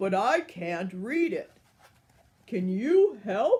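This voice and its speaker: A put-on character voice comes through at a fairly high pitch. It moves at a very slow pace. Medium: read story. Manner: loud, excitable.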